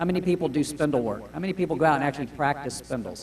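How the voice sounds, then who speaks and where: Very fast and lively in intonation, a man with an American accent speaks at a fairly high pitch. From Florida, US South. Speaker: woodturning demonstrator. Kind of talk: live demonstration talk. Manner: loud.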